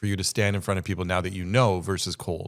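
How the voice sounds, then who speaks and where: Fairly low in pitch, a man speaks at a fairly quick pace. The recording is very clean with a silent background. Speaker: podcast guest, business speaker. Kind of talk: casual interview chat. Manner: fast.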